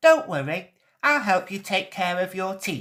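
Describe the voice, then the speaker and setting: Someone uses a put-on character voice at a middle pitch. The delivery is at a moderate pace. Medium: read story. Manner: calm, kind.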